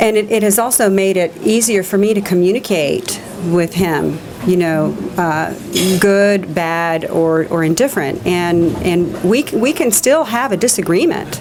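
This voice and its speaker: Over noticeable background noise, a woman with an Alabama accent speaks at a fairly slow pace and a very even loudness. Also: medium pitch for a woman, ordinary pitch variation. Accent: Southern US (Alabama). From US South, Alabama. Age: 60s. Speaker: retreat participant. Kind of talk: interview. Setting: retreat resort. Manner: halting, many fillers and repeats.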